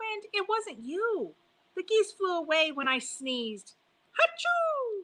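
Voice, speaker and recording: A woman puts on a squeaky character voice at an extremely high pitch. She speaks at a fairly slow pace. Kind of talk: bedtime story. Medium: read story. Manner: earnest, stubborn.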